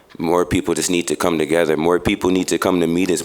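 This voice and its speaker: With noticeable background noise, a man with an American accent speaks very fast in a very deep, low, monotone, flat voice. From Chicago, US Midwest. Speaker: nonprofit youth worker giving public comment. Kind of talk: public comment at city meeting. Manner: halting, many fillers.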